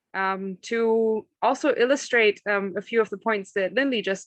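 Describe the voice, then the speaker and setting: The woman's moderate-paced speech has a dry, close sound with no echo against a quiet background. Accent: slight German. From northern Germany. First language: German. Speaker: agricultural consultant. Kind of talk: career talk to students.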